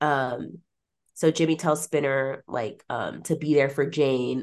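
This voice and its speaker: Against a quiet background, a woman speaks in an animated tone. Her pitch is very deep and low, with ordinary pitch variation. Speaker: podcast host. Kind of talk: casual chat, podcast recap. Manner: animated, laughing.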